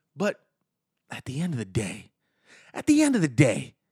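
A man with a high-pitched voice speaks at a moderate pace in an animated tone, his pitch swinging very widely. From Miami. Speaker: stand-up comedian and sports radio host. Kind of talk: sports talk podcast monologue. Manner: animated, loud, comedic.

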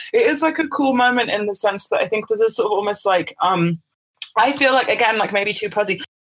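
A woman talks at a fairly quick pace with fairly high pitch, ordinary pitch variation and very even loudness. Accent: British. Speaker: artist and writer. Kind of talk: interview. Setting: remote call. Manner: halting.

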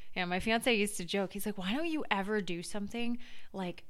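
With an American accent, this is an unremarkable speaking voice delivered at a moderate pace. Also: woman. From Massachusetts, Duxbury near Boston. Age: 20s. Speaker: former beauty queen and media entrepreneur. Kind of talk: casual chat.

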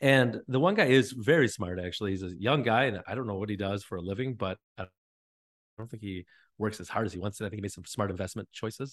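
Against a quiet background, a man with a fairly low pitch speaks at a very fast pace, with ordinary pitch variation and big swings in loudness. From northern Wisconsin. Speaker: fitness coach and gym owner. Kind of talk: casual interview.

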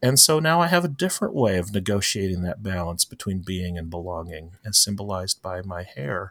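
A man with an American accent speaks in a very deep, low pitch with ordinary pitch variation. His pace is fairly quick with hardly any pauses, in a very clean recording with a silent background. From Florida (St. Petersburg), Filipino immigrant parents. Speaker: pastor. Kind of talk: interview conversation.

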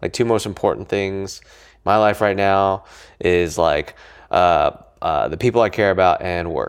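This man has a normal speaking voice with an American accent, fairly even intonation and a fairly slow pace. The recording is very clean, with a silent background. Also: fairly low pitch for a man, big swings in loudness. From Colorado, US. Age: 20s. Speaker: entrepreneur, co-founder of a company. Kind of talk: casual interview conversation. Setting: co-working space office.

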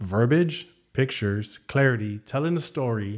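A man with an American accent and an ordinary speaking voice, medium in pitch with ordinary pitch variation, on a very clean recording over a silent background. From San Antonio, Texas. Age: 40s. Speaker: gym owner and fitness and finance coach. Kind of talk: casual interview chat.

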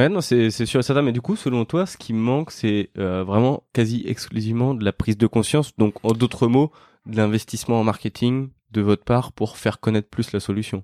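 The tone is dark and mellow, with ordinary pitch variation at a moderate pace. The recording is very clean, with a silent background and a dry, close sound with no echo. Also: man, medium pitch for a man. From France, Lyon. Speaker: podcast host, entrepreneur. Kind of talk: casual interview. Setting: startup campus.

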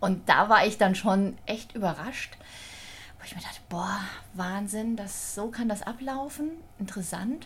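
Amid noticeable background noise, a woman talks at a fairly slow pace with long, frequent pauses, a medium pitch, ordinary pitch variation and big swings in loudness. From Thüringen, eastern Germany. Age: 40s. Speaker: hospital social services manager. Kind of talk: casual interview.

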